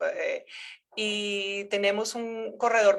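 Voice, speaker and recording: A woman with a Colombian accent speaks at a medium pitch. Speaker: researcher, geography professor. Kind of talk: academic seminar lecture. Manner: halting, many fillers and repetitions.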